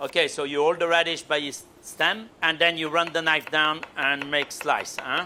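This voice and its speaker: Over noticeable background noise, a man with a French accent speaks at a moderate pace and fairly high pitch in a monotone, flat intonation, with hardly any pauses. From France. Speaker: chef. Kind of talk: cooking instruction.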